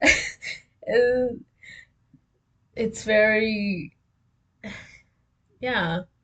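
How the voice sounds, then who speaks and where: A woman's intonation stays fairly even. Her voice is somewhat breathy. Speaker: vlogger. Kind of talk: casual monologue, journal-style. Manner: slow; halting, many fillers.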